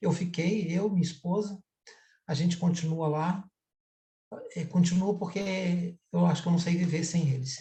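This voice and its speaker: A man speaks at a high pitch in a dark, mellow tone, his intonation monotone and flat. His pace is fairly slow, with long, frequent pauses. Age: 60s. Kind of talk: online panel discussion. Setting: video call, streamed live.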